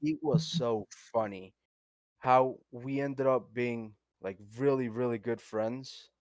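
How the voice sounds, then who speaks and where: A man speaks at medium pitch with a Spanish accent. His pace is very slow. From Colombia. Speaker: podcast co-host. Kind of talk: casual chat. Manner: animated.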